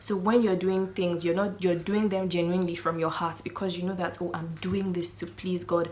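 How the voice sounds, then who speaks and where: There is noticeable background noise. A woman talks with a fairly low pitch and monotone, flat intonation. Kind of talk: casual faith talk to camera. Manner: halting, self-correcting.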